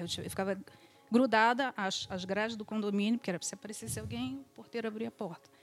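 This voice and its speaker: Very fast speech comes from a woman whose voice sits at a medium pitch. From Brazil, Rio de Janeiro. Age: 40s. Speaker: real estate agent. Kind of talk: interview.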